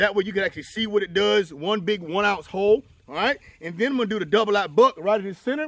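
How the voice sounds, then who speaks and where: This man's voice sits high for a man, with ordinary pitch variation. He talks at a fairly quick pace, and the sound is dry and close with no echo. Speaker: firearms instructor. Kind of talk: tutorial. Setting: outdoor shooting range. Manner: loud.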